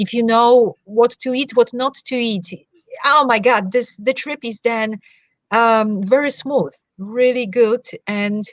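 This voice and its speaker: With a Polish accent, a woman speaks at a fairly high pitch with ordinary pitch variation, her sound dry and close with no echo. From Poland. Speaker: wellness coach. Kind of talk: interview.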